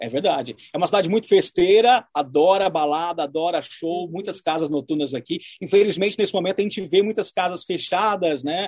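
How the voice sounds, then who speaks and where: This man has a high pitch and ordinary pitch variation. He talks at a fairly quick pace. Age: 30s. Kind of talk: interview.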